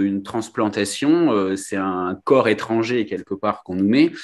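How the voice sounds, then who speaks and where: A man speaks at a moderate pace. He has a slight Nice accent. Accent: slight southern French (Nice). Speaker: kidney transplant recipient and trail runner. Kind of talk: interview testimony. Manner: hesitant, many fillers.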